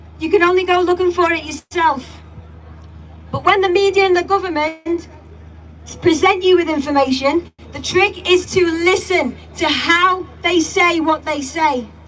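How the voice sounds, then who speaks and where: At an extremely high pitch, a woman talks at a moderate pace with fairly even intonation and long, frequent pauses over noticeable background noise. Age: young. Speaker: protest speaker. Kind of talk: public speech. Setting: outdoor rally with crowd.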